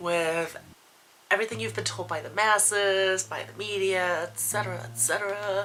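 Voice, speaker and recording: A woman's voice with music in the background. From Poland. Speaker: former stripper, vlogger. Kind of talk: personal vlog monologue.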